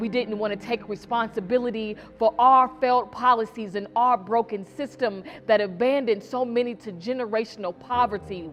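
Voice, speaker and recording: Music plays in the background as a woman speaks with a fairly high pitch. Her pace is moderate. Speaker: spoken word poet. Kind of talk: spoken word poetry performance. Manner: impassioned, rousing.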